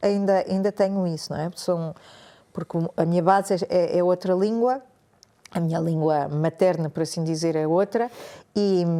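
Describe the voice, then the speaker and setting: A fairly low-pitched woman's voice with a dark, mellow tone, fairly even intonation and long, frequent pauses. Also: moderate pace. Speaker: meditation and yoga teacher, former journalist. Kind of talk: podcast interview. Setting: cold room, podcast studio.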